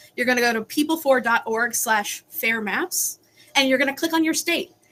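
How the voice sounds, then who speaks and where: At a very fast pace, a woman uses a raised, projected voice with a bright, sharp tone, her pitch high and its variation ordinary. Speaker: advocacy panelist. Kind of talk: panel discussion. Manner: animated.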